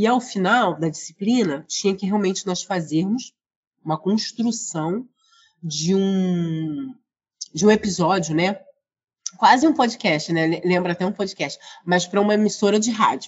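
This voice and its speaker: Speaking at a fairly slow pace with long, frequent pauses, a woman uses a medium pitch, ordinary pitch variation and a somewhat breathy voice. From Rio de Janeiro, Brazil. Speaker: librarian and researcher. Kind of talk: interview.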